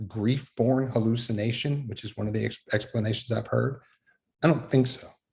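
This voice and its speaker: With an American accent, a man talks fairly quickly in a dark, mellow, somewhat breathy tone with ordinary pitch variation. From Fort Worth, Texas. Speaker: Methodist minister. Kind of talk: talk on faith.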